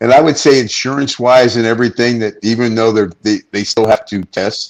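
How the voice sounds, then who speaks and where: A medium-pitched man with an ordinary speaking voice talks at a fairly quick pace with fairly even intonation. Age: 60s. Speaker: retired pro wrestler. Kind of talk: casual chat. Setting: studio.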